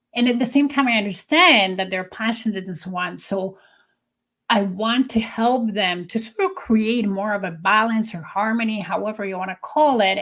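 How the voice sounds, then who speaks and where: A woman with a Polish accent talks at a moderate pace, her fairly high pitch showing ordinary variation. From Poland. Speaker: business consultant. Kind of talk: conversational interview.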